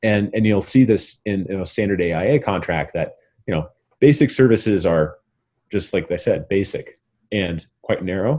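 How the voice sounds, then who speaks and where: Over a quiet background, a man with an American accent talks in a plain, everyday voice. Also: fairly low pitch for a man, ordinary pitch variation, moderate pace. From Montana. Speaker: architect, managing director of a design firm. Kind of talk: guest lecture interview answer.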